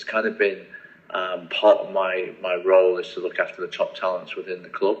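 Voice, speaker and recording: Someone with an English accent talks at a fairly quick pace over noticeable background noise. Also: man. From England, Nottingham (East Midlands). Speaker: football coach. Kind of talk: podcast interview. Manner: hesitant, many fillers and repetitions.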